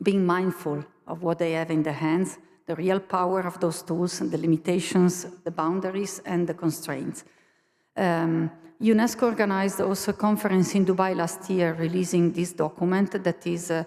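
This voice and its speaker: A moderate pace and fairly even intonation with an Italian accent. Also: woman, fairly low pitch for a woman. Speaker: university learning innovation staff, conference speaker. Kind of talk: conference presentation. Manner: halting.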